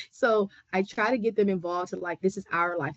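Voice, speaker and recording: With an American accent, a woman speaks in a normal speaking voice at a fairly quick pace, her medium pitch showing ordinary variation. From Southern California. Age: 30s. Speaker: community basketball coach, webinar panelist. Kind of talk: panel discussion.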